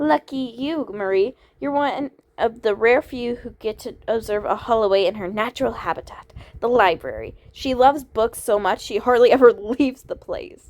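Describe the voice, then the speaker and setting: A woman uses a nasal, high-pitched put-on character voice at a moderate pace. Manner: exaggerated, put on.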